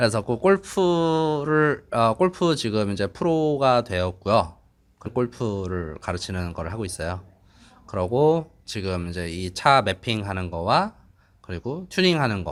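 Very wide pitch swings and a fairly slow pace with a non-native accent, in a very clean recording with a silent background. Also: man, medium pitch for a man. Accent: non-native Korean. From Dubai. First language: English (speaking Korean). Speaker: car mechanic and tuner. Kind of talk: interview. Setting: dyno room. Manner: halting.

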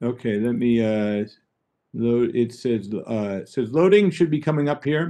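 Over a quiet background, a man speaks at a fairly slow pace with very wide pitch swings. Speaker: trade and export consultant; webinar presenter. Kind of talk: webinar presentation. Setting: video call. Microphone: webcam.

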